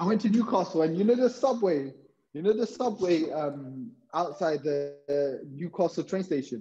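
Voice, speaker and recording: With a London accent, a man speaks in a high pitch and a dark, mellow tone, his pitch swinging very widely. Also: moderate pace. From London, England (Hounslow). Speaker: physiotherapist. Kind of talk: casual chat.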